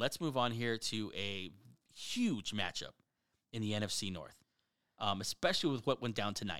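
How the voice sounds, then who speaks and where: The tone is bright, sharp and animated, with ordinary pitch variation, on a very clean recording with a silent background. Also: man. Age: 30s. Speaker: sports podcast host. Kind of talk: casual chat.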